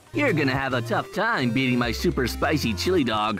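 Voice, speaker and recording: A man puts on a character voice at a medium pitch, talking at a fairly quick pace over clear music in the background. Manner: cocky, upbeat.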